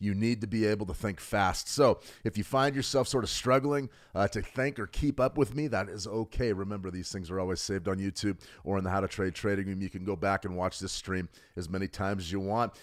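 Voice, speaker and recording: This man speaks very fast with an American accent, his fairly low voice carrying an animated tone and ordinary pitch variation. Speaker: trading educator. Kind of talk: live trading webinar.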